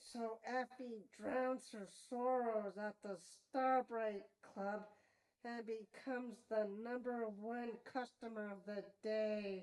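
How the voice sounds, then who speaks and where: A female-sounding, cartoonish character voice sits at a fairly high pitch. It moves at a very slow pace. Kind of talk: TV episode review. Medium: puppet. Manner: playful, enthusiastic.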